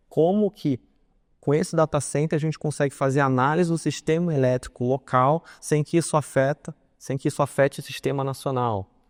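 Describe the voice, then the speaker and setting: A man is heard in a dry, close sound with no echo on a very clean recording with a silent background. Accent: Carioca. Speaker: legal consultant, conference speaker. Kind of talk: conference talk.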